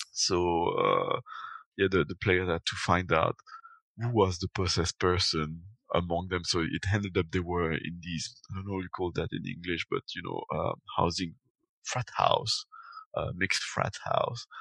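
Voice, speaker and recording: A man with a French accent at a moderate pace, dry and close with no echo, against a quiet background. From Belgium. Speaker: podcaster. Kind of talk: casual chat. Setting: video call.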